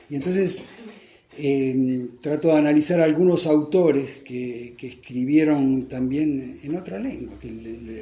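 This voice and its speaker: Over music in the background and with audible room echo, a man with a fairly high voice speaks at a fairly slow pace with ordinary pitch variation. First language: Italian (speaking Spanish). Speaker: author presenting his book. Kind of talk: book presentation talk. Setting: bookstore event with audience. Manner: halting, repeats words.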